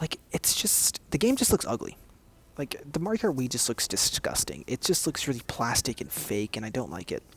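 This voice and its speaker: A man's medium-pitched voice with vocal fry and very wide pitch swings, at a moderate pace, in a dry, close sound with no echo. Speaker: gaming youtuber. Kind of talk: casual chat. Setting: public area, study space. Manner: soft-spoken; halting.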